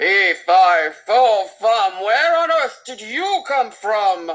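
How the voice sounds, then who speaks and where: A put-on character voice, fairly high in pitch and very slow in pace. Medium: read story.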